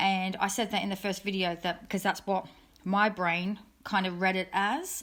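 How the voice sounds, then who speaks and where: A woman speaks at a medium pitch with an Australian accent. Her intonation stays fairly even. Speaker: true crime youtuber. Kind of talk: casual monologue update. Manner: fast.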